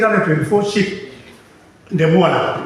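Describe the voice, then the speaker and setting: A man speaks at a moderate pace amid noticeable background noise and audible room echo. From Kenya, West Pokot (Kapenguria). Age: 70s. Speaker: community elder testifying. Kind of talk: testimony. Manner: halting.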